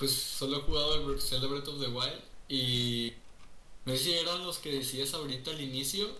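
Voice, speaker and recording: A man talks at a moderate pace with a fairly high pitch and ordinary pitch variation. Audible room echo and noticeable background noise fill the recording. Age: young. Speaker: student podcast co-host. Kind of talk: casual chat.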